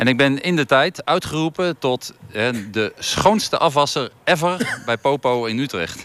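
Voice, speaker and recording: A man talks with lively intonation. He has an unremarkable speaking voice. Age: 50s. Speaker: volleyball coach. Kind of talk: interview.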